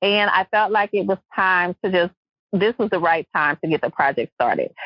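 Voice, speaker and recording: A woman's medium-pitched voice in a Louisiana accent, moderate pace, ordinary pitch variation and very even loudness. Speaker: podcast host. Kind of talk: podcast interview.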